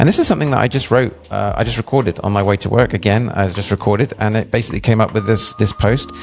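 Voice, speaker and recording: Against noticeable background noise, a man with an English accent speaks at a very fast pace, using a fairly low pitch and ordinary pitch variation. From England. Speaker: web developer and product designer. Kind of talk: product demo walkthrough. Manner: casual, with many fillers.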